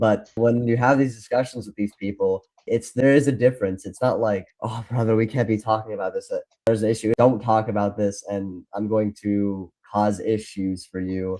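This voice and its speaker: With an unremarkable speaking voice, a man talks at a moderate pace in a fairly low pitch, his intonation fairly even. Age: 20s. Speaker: podcast co-host, fact checker. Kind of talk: casual chat.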